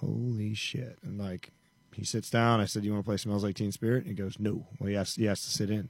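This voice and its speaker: Speaking at a fairly quick pace, a man with an American accent has an unremarkable speaking voice, a fairly low pitch and fairly even intonation. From Montana, rural. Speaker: country musician. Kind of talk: casual chat.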